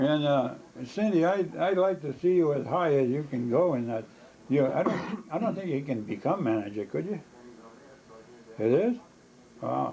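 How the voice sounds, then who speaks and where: Against noticeable background noise, a man talks at a moderate pace in a fairly high voice. His pitch swings very widely, and he takes long, frequent pauses. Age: 80s+. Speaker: grandfather recalling illness. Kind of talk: casual family chat. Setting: cabin in New Hampshire. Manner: halting, many repetitions and fillers.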